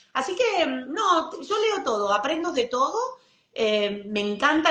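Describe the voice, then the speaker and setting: Room echo can be heard. The woman talks fairly slowly. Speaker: author and leadership mentor. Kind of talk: casual interview chat. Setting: livestream video call.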